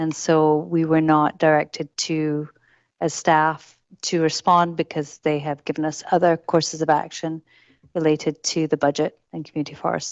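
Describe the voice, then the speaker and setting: The woman's pitch is very deep and low. She keeps a monotone, flat intonation at a moderate pace. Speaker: city staff official. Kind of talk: council meeting response. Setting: council meeting. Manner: formal; quiet.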